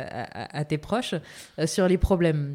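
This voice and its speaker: Her tone dark and mellow, a woman talks rather slowly with normal rise and fall in pitch. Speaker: podcast host. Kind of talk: scripted intro; interview.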